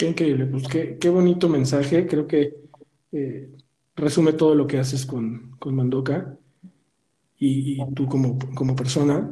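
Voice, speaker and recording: A man's fairly high voice, fairly slow with long, frequent pauses and fairly even intonation, in audible room echo. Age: 40s. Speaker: podcast host. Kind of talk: casual interview. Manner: halting, with frequent repetitions.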